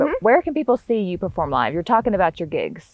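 A woman with a Southern US accent, dry sound with no echo, music in the background. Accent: US South. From Northwest Florida. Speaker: podcast host, entrepreneur. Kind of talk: casual interview chat. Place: farm machine. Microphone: lapel.

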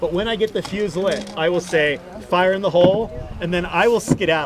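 A man speaks at a moderate pace. Noticeable background noise runs under his voice. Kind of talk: tour guide patter. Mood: joking, light-hearted. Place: boat.

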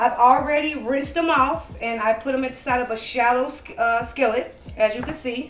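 Audible room echo and faint background music surround a woman's high voice, whose pitch varies in an ordinary way. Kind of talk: tutorial. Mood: relaxed and friendly. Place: kitchen. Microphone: camera far.

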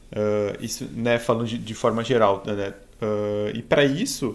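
A man is talking. His pace is very slow. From Rio Grande do Sul, Brazil. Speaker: embedded software engineer; conference speaker. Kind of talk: tech talk presentation. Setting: online live stream. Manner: halting, many fillers. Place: home room.

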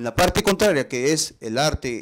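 The man's delivery moves at a moderate pace, his intonation lively against a quiet background. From northern Peru, Chepén; northern Peru. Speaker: visual artist; interviewee. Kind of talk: interview. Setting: artist's studio. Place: workshop. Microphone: lapel.

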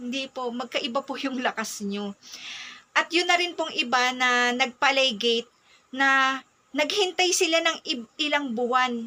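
A woman speaks in a raised, projected voice. Her pitch sits high. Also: ordinary pitch variation, fairly slow pace. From Philippines. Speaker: mom vlogger. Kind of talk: personal advice talk. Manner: polite. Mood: earnest, advising. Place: home room. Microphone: phone near.

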